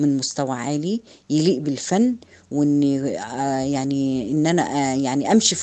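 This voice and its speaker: A woman's very deep, low voice with a dark, mellow tone, an Egyptian accent, ordinary pitch variation and a fairly slow pace, over a quiet background. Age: 50s. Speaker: artisan business owner. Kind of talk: testimony.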